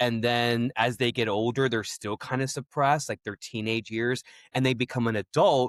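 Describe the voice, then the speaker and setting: In a very clean recording with a silent background and a dry, close sound with no echo, a man with a normal speaking voice talks at a moderate pace in a medium pitch with fairly even intonation. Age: 30s. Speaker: podcast host. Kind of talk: casual interview conversation.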